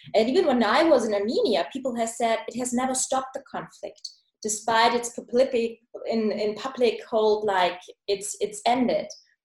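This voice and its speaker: A woman speaks in a German accent with a high pitch. Her pace is moderate and her pitch variation ordinary. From Germany. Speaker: podcast host. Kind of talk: interview. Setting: video call.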